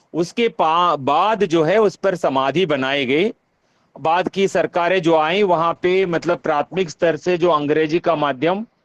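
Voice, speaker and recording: A fairly high-pitched man speaks at very even loudness with ordinary pitch variation. His voice sounds dry and close, without echo. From Telugu-speaking South India (Andhra/Telangana). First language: Telugu (speaking Hindi). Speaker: university professor, workshop convener. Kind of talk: online workshop discussion. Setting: online video meeting. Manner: halting, many filler sounds.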